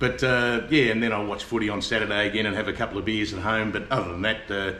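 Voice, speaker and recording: Speaking very fast in an Australian accent, a man keeps a fairly low pitch and fairly even intonation. Noticeable background noise and audible room echo surround his voice. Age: 70s. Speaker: expat retiree. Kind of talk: casual interview. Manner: halting, many fillers.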